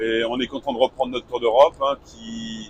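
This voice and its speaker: A man with a normal speaking voice talks at a fairly quick pace, his intonation fairly even. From northern France, Lille. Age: 60s. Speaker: retired truck driver, travel vlogger. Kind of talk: casual chat.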